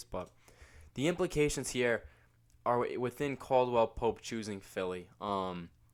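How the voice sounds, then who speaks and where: A man talks at a moderate pace. The recording is very clean and the background silent. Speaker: sports commentary youtuber. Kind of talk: unscripted sports analysis monologue. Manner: casual, many filler words; occasionally stumbling.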